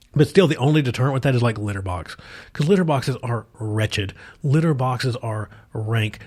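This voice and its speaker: Somewhat breathy and animated, this speaker with an American accent moves at a fairly quick pace with lively intonation and long, frequent pauses, on a very clean recording with a silent background. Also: man. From US South, southwest Virginia mountains. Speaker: podcast host. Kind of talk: casual chat.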